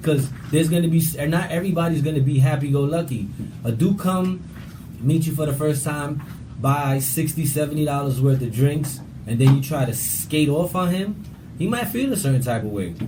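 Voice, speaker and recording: A man with a New York accent at a fairly quick pace and ordinary pitch variation, with audible room echo and noticeable background noise. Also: fairly high pitch for a man. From New York, Brooklyn (Bushwick). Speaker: show guest. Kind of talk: casual chat. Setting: studio. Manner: loud.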